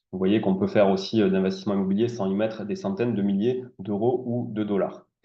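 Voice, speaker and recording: Here a man speaks at a fairly low pitch with ordinary pitch variation. His pace is fairly quick. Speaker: real estate investor and consultant. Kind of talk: webinar presentation. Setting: live Zoom webinar. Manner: hesitant, many fillers.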